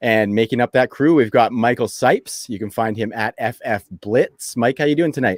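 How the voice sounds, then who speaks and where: This unremarkable speaking voice moves at a moderate pace with ordinary pitch variation and hardly any pauses, recorded with a dry, close sound and no echo. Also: man, medium pitch for a man. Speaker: fantasy football podcast host. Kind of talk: casual podcast chat. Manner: upbeat.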